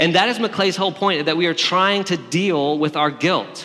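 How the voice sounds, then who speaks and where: Over noticeable background noise and audible room echo, a voice with a Southern US accent talks at a moderate pace. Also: man. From Alabama. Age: 30s. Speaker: pastor. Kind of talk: sermon.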